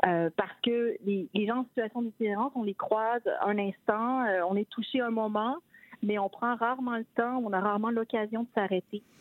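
A woman speaks in an ordinary speaking voice. Her pitch is fairly high, with fairly even intonation. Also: moderate pace. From Quebec City. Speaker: novelist. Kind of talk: interview. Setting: phone call.

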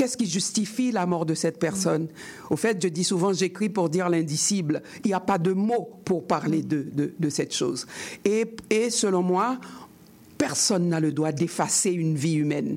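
A woman with an unremarkable speaking voice talks at a fairly low pitch and a moderate pace. Her loudness stays very even, with ordinary pitch variation. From Haiti. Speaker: writer. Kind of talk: interview.

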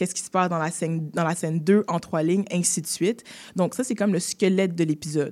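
This woman talks at a fairly low pitch with ordinary pitch variation. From Quebec, Haitian family. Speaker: actress and screenwriter. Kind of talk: interview.

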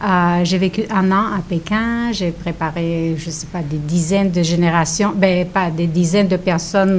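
With a Romanian accent, a woman speaks at a fairly low pitch and a fairly slow pace, with ordinary pitch variation, hardly any pauses and noticeable background noise. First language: Romanian (speaking French). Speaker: author and teacher. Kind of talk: radio interview. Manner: halting.

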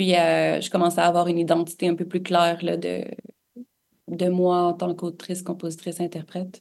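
Her pace is fairly slow. This woman's pitch is fairly low. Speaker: singer-songwriter. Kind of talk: interview. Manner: hesitant, many fillers.

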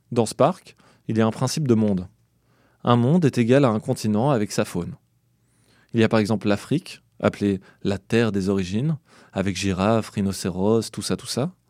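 Recorded very clean with a silent background and a dry, close sound with no echo, a man speaks at a moderate pace with ordinary pitch variation and long, frequent pauses. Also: fairly low pitch for a man. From Belgium. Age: 30s. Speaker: podcast narrator. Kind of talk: scripted narration.

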